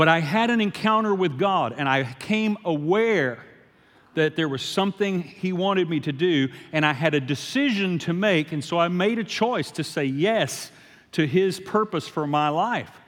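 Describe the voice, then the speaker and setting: With a Louisiana accent, a man speaks at a moderate pace in a high pitch, his intonation lively. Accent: Louisiana Southern US. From US South, Shreveport, Louisiana. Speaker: guest preacher. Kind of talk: sermon.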